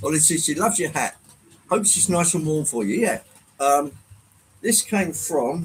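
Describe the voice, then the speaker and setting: Pausing long and often, a man with an English accent speaks in a high pitch with lively intonation. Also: moderate pace. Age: 60s. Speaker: model train livestreamer. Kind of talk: casual livestream chat. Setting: live stream with chat. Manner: hesitant, filler-heavy.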